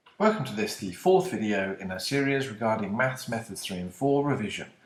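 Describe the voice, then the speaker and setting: Speaking at a fairly quick pace with a British accent, a man uses a medium pitch with very wide pitch swings and a somewhat breathy sound. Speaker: maths teacher. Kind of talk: maths lesson video.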